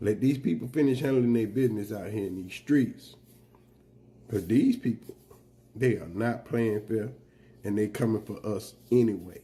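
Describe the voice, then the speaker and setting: A man's somewhat breathy, medium-pitched voice with a dark, mellow tone, moderate pace, ordinary pitch variation and long, frequent pauses. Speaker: political commentator vlogger. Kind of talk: monologue rant to camera. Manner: emphatic, urgent.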